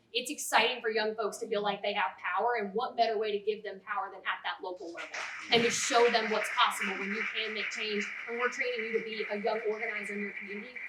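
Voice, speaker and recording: A woman with an American accent talks at a very fast pace in a monotone, flat intonation and a fairly high pitch, with noticeable background noise behind her. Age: 20s. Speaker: political party candidate. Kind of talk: candidate forum speech.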